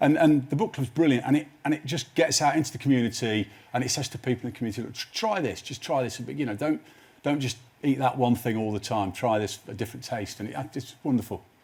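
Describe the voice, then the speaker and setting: At a very fast pace, a man speaks somewhat breathily at medium pitch with ordinary pitch variation. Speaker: TV writer. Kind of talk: live TV interview. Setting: studio with live audience. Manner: halting, many repeated words.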